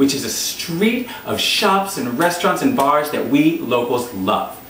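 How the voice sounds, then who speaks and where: An upbeat, animated voice at a moderate pace, with very wide pitch swings, audible room echo and light background noise. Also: man. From US. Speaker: travel show host, comedian. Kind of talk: scripted-style pitch introducing a travel show, comedic monologue. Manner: upbeat, animated, cheerful, salesy. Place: home room.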